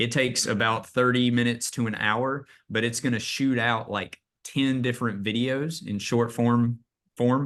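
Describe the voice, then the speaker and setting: Against a quiet background, a man speaks with fairly even intonation and a slight Southern US accent. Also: medium pitch for a man, moderate pace. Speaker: real estate agent and AI trainer. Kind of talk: training webinar presentation. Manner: casual, many fillers.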